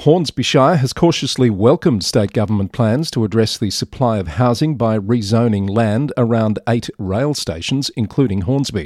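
A man speaks in a plain, everyday voice at a medium pitch, with lively intonation, a moderate pace and hardly any pauses. The recording is very clean with a silent background and a dry, close sound with no echo. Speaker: podcast newsreader host. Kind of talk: news reading, scripted news roundup. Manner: steady, formal, even-paced newsreader delivery; clear and measured, neutral and matter-of-fact.

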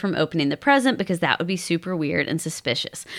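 Lively intonation marks a woman's normal speaking voice at a medium pitch. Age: 30s. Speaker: podcast host and therapist. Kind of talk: casual chat. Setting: at her own home.

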